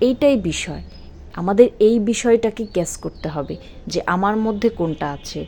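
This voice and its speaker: With a Bangladeshi accent, a woman speaks in a dark, mellow tone with lively intonation and big swings in loudness. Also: medium pitch for a woman. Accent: regional Bangladeshi dialect. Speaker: home baker and small business owner. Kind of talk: motivational talk.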